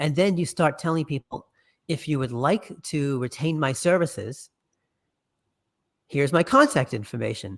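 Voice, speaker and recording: A man with a New York accent speaks at a moderate pace, his pitch fairly high and its variation ordinary. He pauses often and at length, and the very clean recording has a silent background. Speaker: podcast network founder and musician. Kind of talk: interview.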